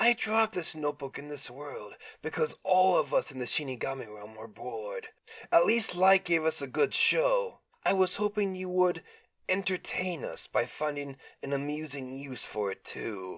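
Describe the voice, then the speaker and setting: At a moderate pace, a man puts on a character voice pitched fairly high. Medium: read story. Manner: playful, mocking, easily bored.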